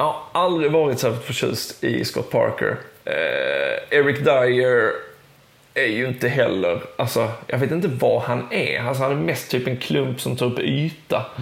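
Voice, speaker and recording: A man talks fairly slowly, with audible room echo and noticeable background noise all around. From southern Sweden, Skåne. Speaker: sports journalist and football podcaster. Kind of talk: casual chat.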